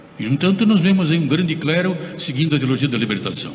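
Amid audible room echo and light background noise, a man speaks at a fairly quick pace with lively intonation. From Brazil. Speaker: Franciscan priest. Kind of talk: sermon. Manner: animated. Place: church. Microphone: podium.

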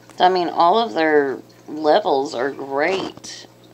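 A woman with an American accent speaks very slowly as noticeable background noise fills the recording. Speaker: aquarium hobbyist vlogger. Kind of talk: casual video monologue. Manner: rambling, casual with fillers. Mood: relaxed, fond. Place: home room. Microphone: phone near.

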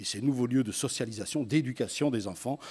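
With ordinary pitch variation and a medium pitch, a man talks in a plain, everyday voice. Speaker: teacher and education activist. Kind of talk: conference talk. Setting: stage with audience.

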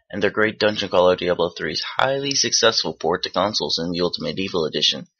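Here is a man with an unremarkable speaking voice and ordinary pitch variation. His pace is fairly quick. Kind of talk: video game award review narration.

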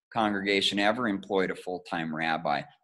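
Reading in an unforced voice, the speaker holds a fairly even intonation.

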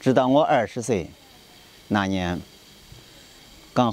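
Speaking very slowly, a man with a medium-pitched voice shows ordinary pitch variation. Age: 40s. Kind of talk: personal appeal to camera.

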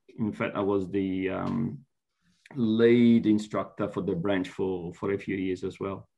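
With an Italian accent, a man speaks slowly at a fairly low pitch, his intonation monotone and flat. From Italy (Florence); Italy. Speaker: university lecturer. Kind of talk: interview. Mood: relaxed, friendly. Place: home room. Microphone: video call.

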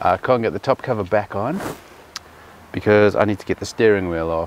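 A man talks at a very fast pace. Light background noise is present, and the sound is dry with no echo. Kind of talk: casual vlog tutorial. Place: car. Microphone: phone near.

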